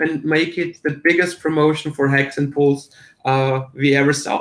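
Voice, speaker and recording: A man's fairly high pitch with fairly even intonation. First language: German. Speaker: crypto promoter. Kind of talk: casual chat. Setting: livestream. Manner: halting.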